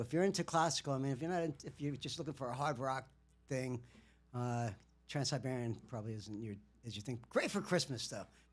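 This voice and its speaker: The recording is very clean, with a silent background. A man speaks fairly quickly with lively intonation. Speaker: musician livestreamer. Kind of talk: casual livestream monologue. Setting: livestream. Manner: halting, many fillers.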